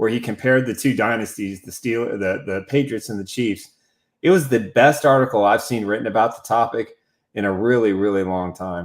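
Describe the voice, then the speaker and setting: A man with an unremarkable speaking voice and an American accent talks at a medium pitch, with ordinary pitch variation and big swings in loudness. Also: fairly quick pace. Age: 60s. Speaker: sports podcast host and writer. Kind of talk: casual sports chat.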